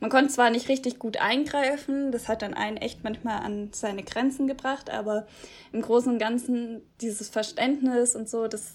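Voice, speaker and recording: A woman speaks at a moderate pace with fairly even intonation and a fairly high pitch. It is an ordinary speaking voice. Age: 20s. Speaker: podcast host, former volunteer abroad. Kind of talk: scripted intro; casual interview.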